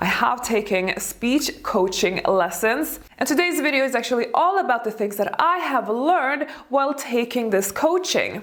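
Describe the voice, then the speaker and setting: A woman with a non-native accent, high in pitch with very wide pitch swings, at a moderate pace over noticeable background noise. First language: not English. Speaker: elegance coach and YouTuber. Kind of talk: video tutorial.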